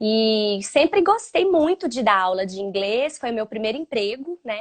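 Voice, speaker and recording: Speaking at a moderate pace, a woman has a fairly high pitch and lively intonation. She has a strong Minas Gerais accent. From Minas Gerais, Brazil (Belo Horizonte). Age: 30s. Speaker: English teacher for children. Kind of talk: casual chat. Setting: live stream.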